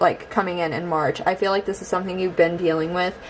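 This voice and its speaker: A woman speaks over noticeable background noise. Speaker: tarot reader. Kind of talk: tarot reading to camera. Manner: hesitant, many fillers.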